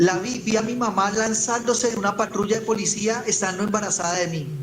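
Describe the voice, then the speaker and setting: Against noticeable background noise and audible room echo, a man talks at a high pitch with fairly even intonation. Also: fairly quick pace. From Colombia, Ibagué. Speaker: evangelist. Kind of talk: testimony. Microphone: voice heard too quietly.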